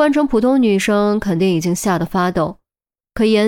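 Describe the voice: The clip is plain reading aloud. The background is quiet.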